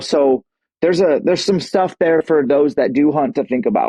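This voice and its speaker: A plain, everyday voice from a man with an American accent, fairly high in pitch, with ordinary pitch variation at a moderate pace. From Washington State. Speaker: bowhunter and fitness coach. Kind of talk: podcast interview. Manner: casual.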